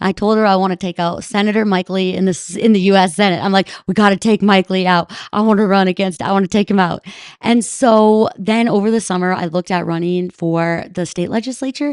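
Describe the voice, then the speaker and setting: A woman with an American accent speaks in a normal speaking voice at a medium pitch and a fairly quick pace, with fairly even intonation, dry, close sound with no echo, and a quiet background. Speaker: ski mountaineer and Senate candidate. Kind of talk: podcast interview.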